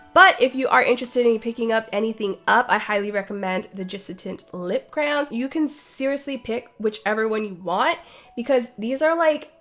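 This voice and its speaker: Lively intonation comes through at a moderate pace amid noticeable background noise. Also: woman, fairly high pitch for a woman. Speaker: beauty vlogger. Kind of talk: product review. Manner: animated.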